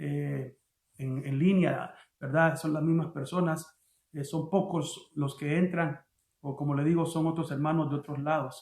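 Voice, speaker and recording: At a moderate pace, a man talks in a fairly high voice with monotone, flat intonation. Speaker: pastor. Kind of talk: sermon. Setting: online livestream. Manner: halting.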